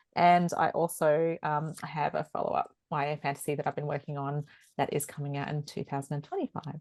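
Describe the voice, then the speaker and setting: A woman with a strong Australian accent, very deep and low in pitch, flat and monotone at a fairly quick pace, over a quiet background. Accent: broad Australian. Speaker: author and veterinarian. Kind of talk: panel discussion. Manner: hesitant with many fillers.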